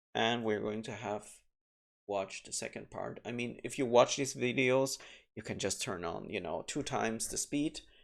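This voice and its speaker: In a very clean recording with a silent background, a man speaks at medium pitch with vocal fry and ordinary pitch variation. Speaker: gaming video commentator. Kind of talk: gameplay commentary. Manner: slow.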